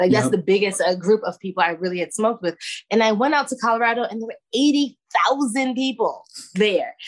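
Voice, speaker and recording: A woman talks at a fairly quick pace with lively intonation. Her pitch is fairly high. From Brooklyn, New York. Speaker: hash maker and cannabis grower. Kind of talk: interview.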